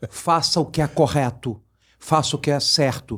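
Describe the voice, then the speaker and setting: This is a man speaking. His pitch is fairly high. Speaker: politician and fish businessman. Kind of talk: interview. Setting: studio.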